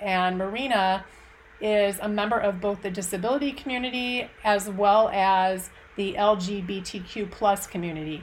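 An unremarkable speaking voice belongs to a woman. Her medium pitch holds fairly even intonation. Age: 40s. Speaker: podcast host. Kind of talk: casual interview.

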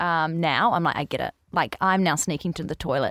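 In a normal speaking voice, a woman talks at a fairly quick pace with fairly even intonation on a very clean recording with a silent background. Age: 20s. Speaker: hair care brand founder. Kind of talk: casual chat.

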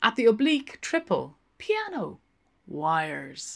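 Slowly and with vocal fry, a woman speaks at a medium pitch with a fairly bright tone and very wide pitch swings.

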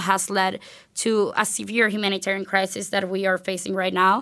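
Over a very clean recording with a silent background, a woman speaks fairly quickly with a Spanish accent. Her tone is bright and sharp, her intonation monotone and flat. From Venezuela. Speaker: university student. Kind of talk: interview.

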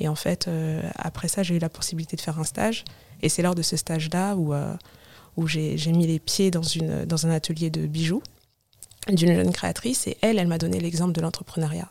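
At a fairly quick pace, a woman speaks in a fairly low, dark, mellow voice with fairly even intonation. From Paris suburbs (Val-de-Marne, 94), Comorian family. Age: 30s. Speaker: digital collage artist and fashion stylist. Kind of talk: casual interview.

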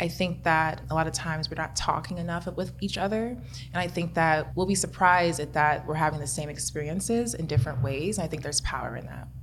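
A woman at a fairly quick pace with hardly any pauses, amid audible room echo. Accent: American. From US Midwest, Kansas City. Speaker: chemistry PhD student. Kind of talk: interview.

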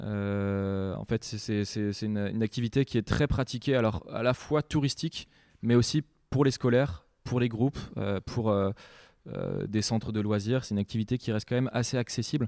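On a very clean recording with a silent background and a dry, close sound with no echo, a man speaks with a dark, mellow tone and fairly even intonation. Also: medium pitch for a man, moderate pace. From Brittany, France (Saint-Malo, bay of Mont-Saint-Michel). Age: 20s. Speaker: land sailing champion and student. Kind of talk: interview before a live audience. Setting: school, in front of an audience. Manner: hesitant, frequent fillers and repetitions.

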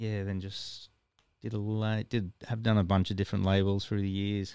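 A dark, mellow, monotone voice with flat intonation, an Australian accent and a moderate pace, in a very clean recording with a silent background. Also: man. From Ipswich, Queensland, Australia. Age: 40s. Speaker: record store owner and musician. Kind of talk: casual chat.

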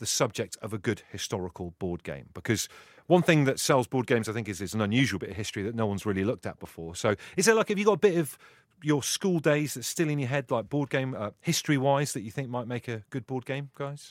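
Speaking at a fairly quick clip, a man with a medium-pitched voice makes very wide pitch swings, and the sound is dry and close with no echo. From Liverpool, England. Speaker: podcast host. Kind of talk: casual chat. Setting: video call.

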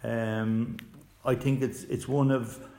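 A man in a Cork accent, medium in pitch, with fairly even intonation. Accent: Cork Irish. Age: 60s. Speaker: author and hurling coach. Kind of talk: casual interview chat.

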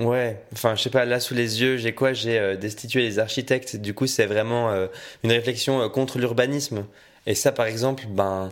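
A man with an ordinary speaking voice of medium pitch talks at a moderate pace. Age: 20s. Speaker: student guest. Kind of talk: casual chat.

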